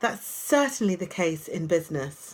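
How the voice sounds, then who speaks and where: Speaking at a fairly slow pace, a woman with a British accent uses lively intonation and a fairly low pitch. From UK. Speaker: life coach. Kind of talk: casual vlog talk. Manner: conversational, hesitant.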